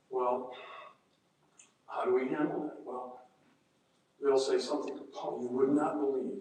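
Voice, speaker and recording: Soft-spoken and fairly high-pitched, a man with an American accent talks with ordinary pitch variation amid audible room echo. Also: long, frequent pauses. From Indiana, US Midwest. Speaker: mediator. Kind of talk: seminar talk.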